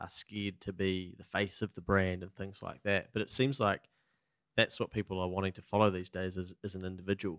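A man with a New Zealand accent, very deep and low in pitch, fairly even in intonation and fairly quick in pace, in a dry sound with no echo and a quiet background. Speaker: podcast host. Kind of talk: casual interview. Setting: studio. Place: studio. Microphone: studio mic.

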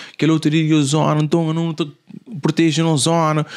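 With nothing but quiet behind him, a man speaks moderately fast in a fairly high voice. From Cape Verde, São Filipe (Fogo); Cape Verde. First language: Cape Verdean Creole (speaking Portuguese). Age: young. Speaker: musician; podcast guest. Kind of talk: casual chat. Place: studio. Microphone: studio mic.

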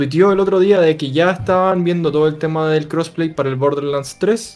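A man talks at a fairly quick pace with a fairly high pitch and a slightly mellow tone, faint music playing in the background. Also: fairly even intonation.

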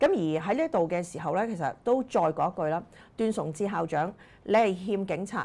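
A woman's voice has a dark, mellow tone. Her pitch swings very widely. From Hong Kong. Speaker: political commentator; political commentary host. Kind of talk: political commentary monologue; commentary. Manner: frequent fillers and hesitations. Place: studio. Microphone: lapel.

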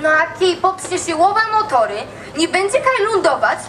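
This woman has an extremely high voice and a Kraków accent. Crowd noise can be heard behind her. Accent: Kraków rural dialect. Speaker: storyteller in dialect contest. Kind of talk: humorous dialect monologue on stage. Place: stage.

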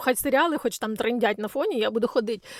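A woman's high-pitched voice at a very fast pace, with ordinary pitch variation and a dry, close sound with no echo. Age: 40s. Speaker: blogger. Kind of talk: vlog monologue.

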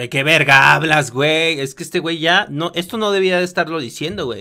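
A man with a Mexican accent talks at a moderate pace in a fairly high, bright, sharp voice. His intonation is lively, and the background is quiet. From Mexico. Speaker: streamer reaction commentator. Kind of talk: reaction commentary. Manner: animated. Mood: critical, exasperated. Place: home room. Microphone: studio mic.

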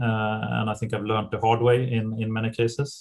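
This man speaks with a Swedish accent. His voice is somewhat breathy and his intonation is flat and monotone. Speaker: private equity partner. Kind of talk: interview. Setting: video call. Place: office. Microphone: webcam.

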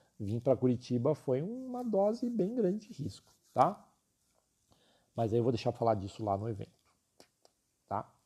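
A man with a medium-pitched, dark, mellow voice speaks at a moderate pace, somewhat breathy. His pitch swings very widely, broken by long, frequent pauses. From São Paulo city, Brazil. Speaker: illustration teacher. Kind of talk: live stream class and sales talk. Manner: talkative, informal.

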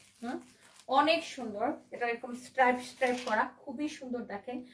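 A loud, high-pitched woman's voice. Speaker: online clothing seller. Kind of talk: live sales stream. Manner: animated.

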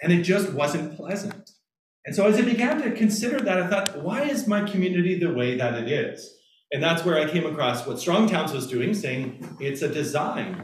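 A man's voice at a moderate pace, with very wide pitch swings, audible room echo and light background noise. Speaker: pastor giving a lecture. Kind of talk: lecture. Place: meeting room. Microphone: camera far.

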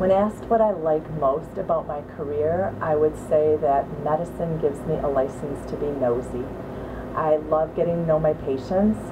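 With an American accent, a woman with a very deep, low voice talks at a moderate pace with ordinary pitch variation over noticeable background noise. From US Midwest, Wisconsin (Waukesha area); Wisconsin. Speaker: physician. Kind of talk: scripted profile talk to camera; interview answer. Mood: warm, upbeat. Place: studio.

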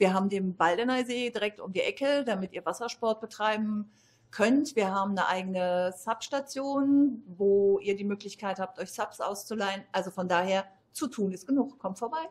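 A woman speaks with a medium pitch. Her pace is moderate. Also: ordinary pitch variation.

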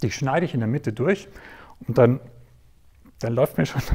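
A man speaks at a moderate pace, somewhat breathy. The background is quiet. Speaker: presenter. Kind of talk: storytelling talk to an audience. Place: stage. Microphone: lapel.

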